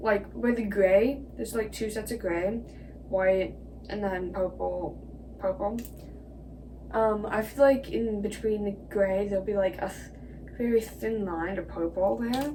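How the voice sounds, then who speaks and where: A woman at a fairly slow pace with audible room echo. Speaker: video creator. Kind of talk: casual commentary. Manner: hesitant, many fillers.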